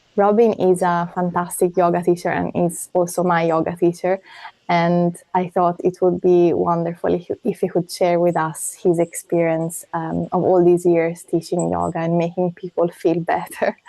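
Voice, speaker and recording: Her pitch fairly low, a woman speaks in a monotone, flat intonation with hardly any pauses. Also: moderate pace. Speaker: podcast host. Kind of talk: podcast interview questions.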